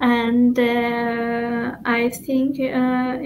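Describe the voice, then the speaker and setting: Over noticeable background noise, a woman with an Albanian accent talks in a high pitch. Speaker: poet. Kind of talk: interview. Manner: halting.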